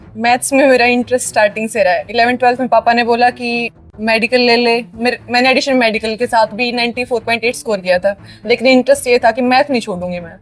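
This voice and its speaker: A woman speaks at a high pitch and a moderate pace, with fairly even intonation. Noticeable background noise is audible. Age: 20s. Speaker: university topper student. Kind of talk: interview.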